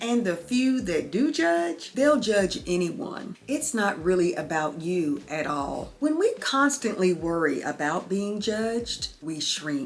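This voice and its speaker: In a Southern US accent, a woman speaks at a medium pitch with a warm tone and very wide pitch swings. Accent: Southern twang. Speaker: lifestyle YouTuber. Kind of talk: motivational talk to camera. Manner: warm, conversational.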